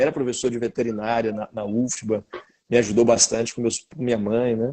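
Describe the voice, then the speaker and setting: A man talks at a moderate pace in a medium pitch, his tone dark and mellow. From Bahia, Brazil. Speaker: law professor. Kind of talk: interview. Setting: live video stream.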